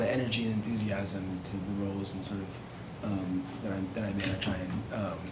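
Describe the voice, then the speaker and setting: Moderate-paced speech from a man with an American accent, with audible room echo and noticeable background noise. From Southern California. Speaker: city manager candidate. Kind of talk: Q&A at public reception. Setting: public meet and greet reception. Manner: hesitant, many fillers.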